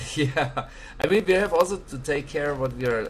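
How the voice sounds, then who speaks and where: A man speaks with a German accent at a moderate pace. His intonation is lively, and background noise is noticeable. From Germany. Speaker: live stream host. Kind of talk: casual chat. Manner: halting.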